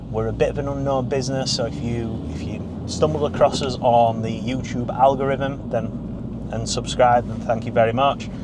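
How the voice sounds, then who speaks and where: With a Barnsley accent, a man talks at a moderate pace in a medium pitch with ordinary pitch variation, over noticeable background noise and audible room echo. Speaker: car dealer. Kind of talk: casual vlog chat. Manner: unscripted, off the cuff.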